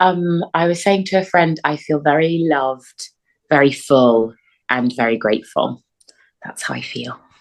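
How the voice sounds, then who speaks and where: In a London accent, a woman with a fairly low pitch talks at a fairly slow pace, her intonation lively and her loudness swinging widely. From North London. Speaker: actor and playwright. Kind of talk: interview answer.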